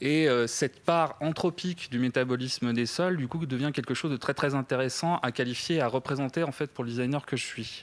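A man speaks at a fairly quick pace with hardly any pauses and fairly even intonation. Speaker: design researcher. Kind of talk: project presentation. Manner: halting, many fillers and repetitions. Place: stage. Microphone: handheld.

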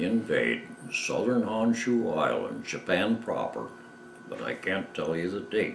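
A man speaks at a fairly slow pace with an Upper Midwest accent. Light background noise and audible room echo are present. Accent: Upper Midwest American. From Michigan. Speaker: war veteran. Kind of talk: interview answer. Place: home room.

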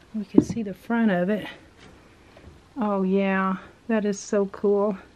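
Against light background noise and audible room echo, a woman speaks with fairly even intonation. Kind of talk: casual exploring commentary. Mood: curious, delighted. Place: shop. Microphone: phone near.

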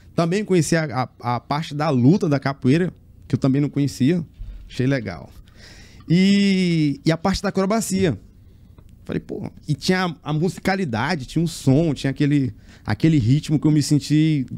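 Pausing long and often, a man speaks at a moderate pace in a fairly high voice with ordinary pitch variation. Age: 40s. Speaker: circus acrobat; interview guest. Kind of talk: interview. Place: studio. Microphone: studio mic.

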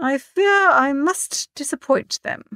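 A slow put-on character voice, bright and sharp in tone, with ordinary pitch variation and a dry, close sound with no echo

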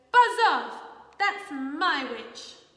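Putting on a character voice, a woman goes shrill, croaky and growling at an extremely high pitch, with very wide pitch swings and a slight echo. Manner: rude, aggressive.

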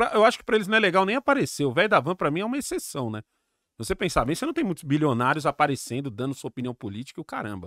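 A very fast man's voice, fairly high, with very wide pitch swings, dry with no echo against a quiet background. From Brazil. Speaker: YouTuber. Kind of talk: casual chat. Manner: animated. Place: studio. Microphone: studio mic.

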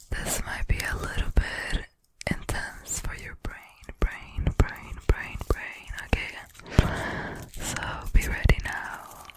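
Whispering and soft-spoken, a woman talks at a very slow pace in a dry sound with no echo, over loud background noise. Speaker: ASMR creator. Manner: soft close-mic ASMR whisper. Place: home room. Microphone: studio mic.

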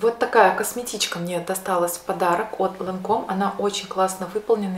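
Audible room echo surrounds a woman talking at a fairly quick pace in a monotone, flat intonation. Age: 30s. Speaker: beauty vlogger. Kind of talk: product unboxing. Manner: casual, some filler hesitations. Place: home room.

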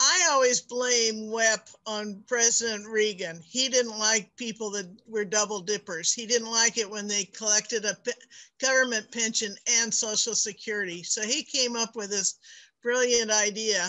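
An ordinary speaking voice from a woman, fairly high in pitch, with fairly even intonation at a moderate pace. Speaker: adjunct instructor and board member. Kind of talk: meeting presentation. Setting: video call.

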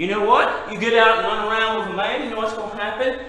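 A man's raised, projected voice, high in pitch, at a fairly quick pace with audible room echo. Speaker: pastor. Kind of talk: sermon. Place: church. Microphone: camera far.

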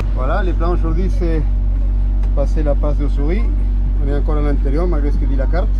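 Noticeable background noise is present. Over it, a man speaks at a fairly quick pace. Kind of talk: casual vlog commentary. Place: boat. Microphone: phone near.

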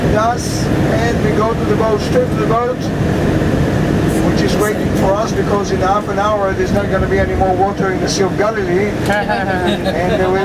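Loud background noise sits behind the voice. The pace is moderate. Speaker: tour guide. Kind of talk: tour guide commentary. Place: bus.

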